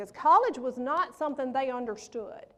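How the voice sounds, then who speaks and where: A woman talks loudly in a Mississippi accent at a high pitch. Noticeable background noise runs underneath. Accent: Southern US (Mississippi). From US South, Pontotoc, Mississippi. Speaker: motivational speaker. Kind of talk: keynote speech. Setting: stage with audience. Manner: animated.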